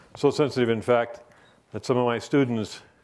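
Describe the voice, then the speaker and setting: This man's medium-pitched voice has fairly even intonation. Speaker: professor. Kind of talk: lecture. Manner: fast.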